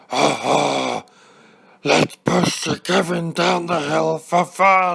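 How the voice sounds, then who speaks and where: Putting on a raspy character voice, a man speaks at a high pitch and a very slow pace. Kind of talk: storybook narration. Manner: mischievous, gleeful.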